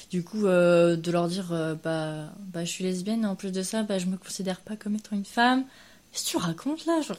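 A woman with a normal speaking voice talks at a fairly quick pace, at a medium pitch with ordinary pitch variation. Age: 20s. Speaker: interviewee. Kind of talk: casual interview.

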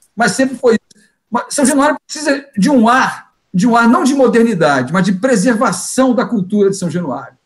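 With hardly any pauses, a man talks at a moderate pace in an extremely high pitch and lively intonation. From Brazil, Rio de Janeiro. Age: 60s. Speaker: sports journalist. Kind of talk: live panel debate.

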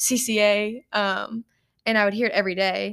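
A woman with a Kentucky accent talks at a moderate pace in a fairly high pitch. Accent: Kentucky Southern US. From Paducah, Kentucky. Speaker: ministry intern and college student. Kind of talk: casual interview.

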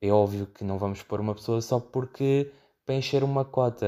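A man speaks in a European Portuguese accent with a dark, mellow tone and medium pitch. His intonation stays fairly even on a very clean recording with a silent background. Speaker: podcast host. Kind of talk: solo monologue. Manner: halting with frequent fillers and repetitions.

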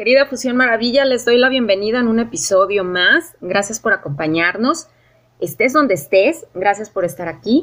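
The speaker has a plain, everyday voice and a moderate pace. The intonation is lively. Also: woman, fairly high pitch for a woman. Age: 40s. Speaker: podcast host. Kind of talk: casual interview chat.

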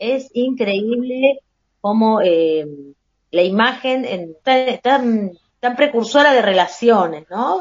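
At a very slow pace, a woman with a fairly high pitch uses lively intonation. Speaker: podcast co-host. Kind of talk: casual chat.

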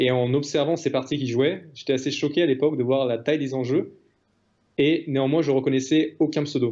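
A man talks at a fairly quick pace with fairly even intonation. His voice is fairly high in pitch, with a dark, mellow tone. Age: 20s. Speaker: retired professional poker player. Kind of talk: interview.

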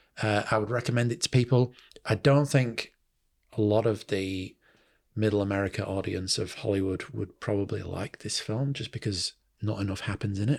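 Speaking with a Mancunian accent, a man uses a fairly low pitch and fairly even intonation at a moderate pace. The recording is very clean, with a silent background. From Manchester, England. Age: 40s. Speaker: podcaster and film fan. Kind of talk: casual chat.

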